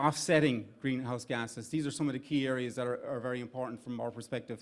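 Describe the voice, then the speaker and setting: The voice has an Irish accent and a monotone, flat intonation. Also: man. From Ireland. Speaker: startup investment executive. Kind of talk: event speech. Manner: halting.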